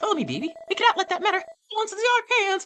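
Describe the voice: A put-on character voice, extremely high in pitch, at a very fast pace.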